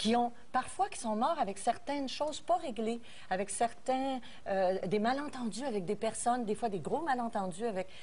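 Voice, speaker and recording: A woman with a fairly high pitch speaks in an ordinary speaking voice. Her intonation is lively and her pace moderate. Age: 50s. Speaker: talk show panelist. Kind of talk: casual chat.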